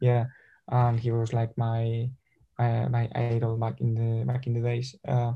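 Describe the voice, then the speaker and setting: A somewhat breathy man's voice with a Spanish accent, a dark, mellow tone and monotone, flat intonation. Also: medium pitch for a man, fairly slow pace. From Spain, Madrid. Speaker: football physical therapist and sports scientist. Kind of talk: interview. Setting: video call. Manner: halting.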